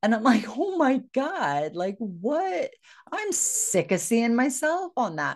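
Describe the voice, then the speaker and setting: A woman with an American accent, fairly high pitch, very wide pitch swings, vocal fry, and a very slow pace. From United States. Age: 50s. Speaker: podcast host and grief coach. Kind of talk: personal storytelling monologue. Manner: animated.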